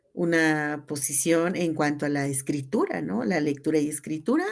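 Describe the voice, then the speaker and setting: A woman with a Chiapas accent and a very deep, low voice talks at a moderate pace with ordinary pitch variation. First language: Tzeltal (speaking Spanish). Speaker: teacher and cultural promoter. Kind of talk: radio interview.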